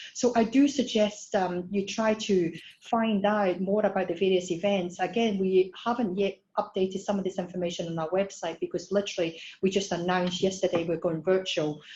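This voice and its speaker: A woman with a Scottish accent speaks at a fairly quick pace and a medium pitch. Her voice is somewhat breathy and dark, mellow in tone, with fairly even intonation. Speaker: startup program head. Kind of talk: webinar presentation. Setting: online webinar. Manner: hesitant with fillers.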